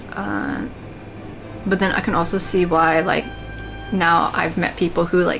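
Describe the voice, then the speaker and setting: With music in the background, a woman speaks at a fairly low pitch with lively intonation and long, frequent pauses. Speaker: gaming streamer. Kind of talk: casual gameplay commentary. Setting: alone in own room. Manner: filler-heavy.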